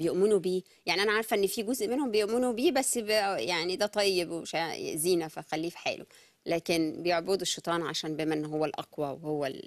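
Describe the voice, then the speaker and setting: A woman at a medium pitch, lively intonation, a fairly quick pace with hardly any pauses, a dry sound with no echo, and a quiet background. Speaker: TV show host. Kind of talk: live TV discussion interview. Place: studio.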